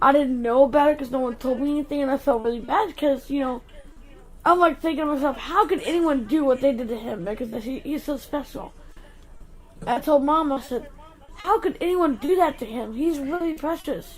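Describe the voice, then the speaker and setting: A woman's high voice with an American accent, fairly quick, with ordinary pitch variation over noticeable background noise. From US South. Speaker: channel co-host. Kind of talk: casual chat.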